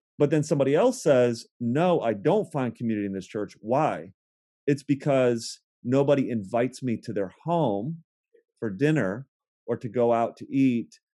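With an American accent, a man of medium pitch talks at a moderate pace in a dark, mellow tone with lively intonation. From Ohio, US Midwest. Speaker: pastor. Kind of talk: casual interview.

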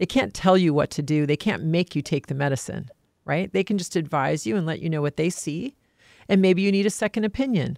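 In a very clean recording with a silent background and a dry, close sound with no echo, a woman speaks at a fairly quick pace with lively intonation. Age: 50s. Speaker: private trustee and executor. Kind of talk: casual chat.

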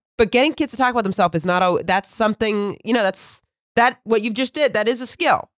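Talking at a very fast pace with lively intonation, a woman with a fairly high pitch comes through in a very clean recording with a silent background and a dry, close sound with no echo. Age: 30s. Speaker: comedian. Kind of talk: casual chat.

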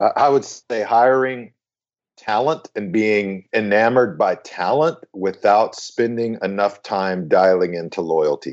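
The pace is fairly slow in an unremarkable speaking voice. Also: man, fairly low pitch for a man, ordinary pitch variation. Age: 40s. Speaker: megachurch senior pastor. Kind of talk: casual chat. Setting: remote call.

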